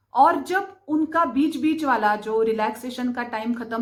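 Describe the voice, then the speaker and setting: With a Marathi accent, a woman speaks in a high pitch with ordinary pitch variation. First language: Marathi (speaking Hindi). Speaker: spiritual/vastu content creator. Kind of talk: explanatory talk to camera.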